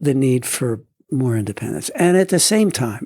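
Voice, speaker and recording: Somewhat breathy and at a medium pitch, a man speaks at a fairly slow pace in a dry, close sound with no echo. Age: 70s. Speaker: retired judge. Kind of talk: interview. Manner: halting.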